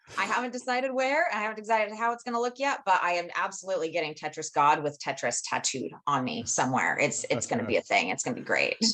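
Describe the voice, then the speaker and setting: A loud woman speaks very fast with hardly any pauses, her medium pitch making very wide swings, with vocal fry and a bright, sharp tone. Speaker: professional organizer, business owner. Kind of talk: interview. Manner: animated.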